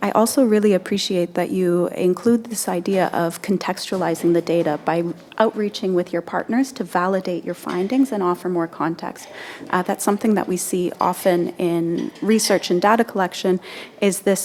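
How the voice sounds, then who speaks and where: A soft-spoken woman at a medium pitch, with noticeable background noise. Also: ordinary pitch variation, moderate pace. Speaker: panel moderator. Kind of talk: panel discussion. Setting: conference panel. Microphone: far from the mic.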